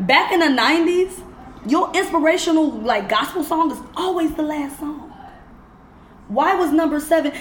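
Through noticeable background noise, a woman with an extremely high pitch speaks at a moderate pace. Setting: studio.

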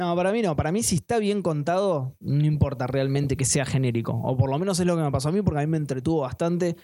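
A man with a fairly high voice and a Rioplatense accent talks at a very fast pace with ordinary pitch variation. He leaves hardly any pauses. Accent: Argentine Rioplatense Spanish. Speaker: podcast host. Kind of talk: casual chat.

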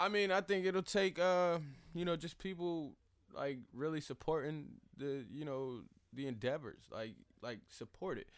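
A man with an American accent speaks in an ordinary speaking voice at a moderate pace. His pitch is fairly high and his intonation lively. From Fayetteville, North Carolina. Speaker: rapper and videographer. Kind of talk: casual interview.

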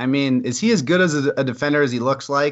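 With an ordinary speaking voice, a man talks at a fairly quick pace, his fairly high pitch rising and falling in lively intonation. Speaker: co-host sports podcaster. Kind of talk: casual chat. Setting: remote call. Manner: laughing, chatty.

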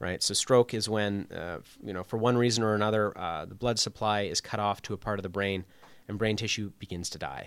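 A man with a Canadian accent and a fairly low pitch talks at a fairly quick pace with fairly even intonation. The recording is very clean, with a silent background. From Canada, Toronto area. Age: young. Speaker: primary care physician. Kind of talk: radio interview.

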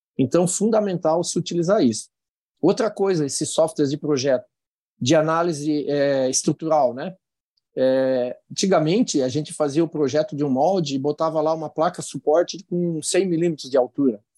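The pace stays moderate as a man talks. Pitch variation is ordinary. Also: quiet background. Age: 60s. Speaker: industry association president. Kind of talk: interview.

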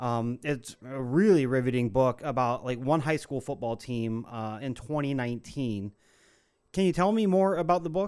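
Lively intonation runs through a plain, everyday voice with an American accent at a moderate pace. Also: man, medium pitch for a man. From Ohio. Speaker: podcast host. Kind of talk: scripted narration; interview. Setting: video call.

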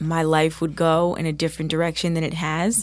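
On a very clean recording with a silent background, a woman with an American accent talks at a moderate pace in a normal speaking voice with a fairly low pitch. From New Jersey. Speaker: singer and nurse. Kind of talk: interview.

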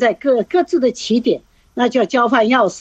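Recorded dry and close with no echo, a woman speaks in a high pitch. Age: 70s. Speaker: retired hiker and gardener. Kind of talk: radio interview. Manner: hesitant, many fillers.

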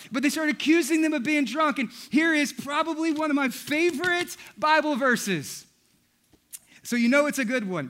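A man talks loudly in an extremely high pitch. His tone is animated, bright and sharp. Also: ordinary pitch variation, moderate pace. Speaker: pastor. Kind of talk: sermon.

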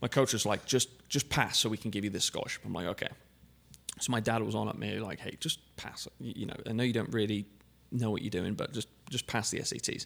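A man's fairly low voice with vocal fry, ordinary pitch variation and a very fast pace. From England. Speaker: car dealership general manager. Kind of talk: casual interview. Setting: studio.

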